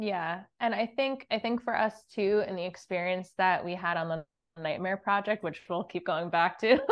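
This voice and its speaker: A woman with an American accent uses a plain, everyday voice at a medium pitch, keeping a moderate pace and ordinary pitch variation. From New Jersey. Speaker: real estate investor. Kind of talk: interview.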